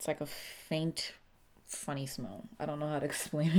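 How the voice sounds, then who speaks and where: A woman speaks in a somewhat breathy voice. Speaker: beauty YouTuber. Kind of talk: casual talk to camera.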